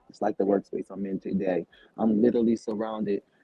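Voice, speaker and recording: In a monotone, flat intonation, a man speaks at a fairly low pitch and a moderate pace. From US South, Savannah, Georgia. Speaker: cleaning business owner. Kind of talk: interview. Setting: shared workspace with people around.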